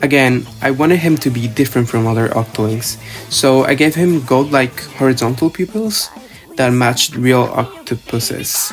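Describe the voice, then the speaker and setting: A man with a non-native accent at a medium pitch and moderate pace, ordinary pitch variation, music in the background. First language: not English. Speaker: student and digital artist. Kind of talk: casual art video voiceover.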